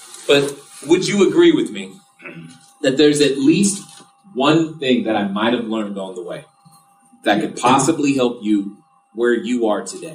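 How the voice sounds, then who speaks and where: Amid music in the background and audible room echo, a man with a fairly high pitch speaks at a moderate pace with long, frequent pauses, very wide pitch swings and big swings in loudness. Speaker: real estate investor speaking at an event. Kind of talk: live seminar talk. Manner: animated.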